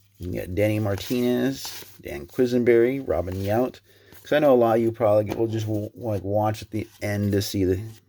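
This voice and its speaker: A quiet man with a fairly low pitch and a dark, mellow tone speaks at a moderate pace. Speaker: sports card collector YouTuber. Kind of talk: casual box-break commentary. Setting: at home at night, family sleeping. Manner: quiet, subdued; dull, stumbling on names.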